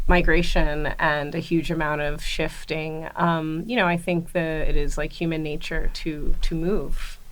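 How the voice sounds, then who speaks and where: A woman's American accent with ordinary pitch variation, in audible room echo. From grew up in many places, mostly USA (New York). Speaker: museum curator. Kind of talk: interview conversation. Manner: casual, many fillers.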